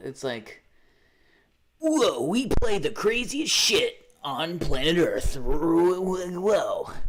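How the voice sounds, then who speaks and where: A put-on character voice at a very slow pace. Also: man, high pitch for a man. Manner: hyped, excited.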